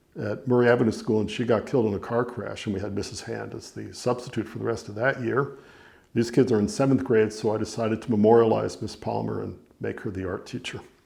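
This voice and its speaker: Speaking very fast, a man uses a fairly low pitch and a dark, mellow tone, with vocal fry and fairly even intonation. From New York (Larchmont, Westchester). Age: 70s. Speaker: novelist. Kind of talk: reading aloud; casual talk. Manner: halting.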